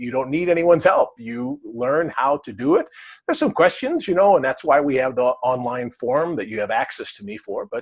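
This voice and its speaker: A man with an American accent speaks at a moderate pace in an unremarkable speaking voice, his pitch fairly high, over a quiet background. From US Midwest, Wisconsin. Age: 60s. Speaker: cleansing program author and teacher. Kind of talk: talk to camera answering questions. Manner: casual, with many fillers.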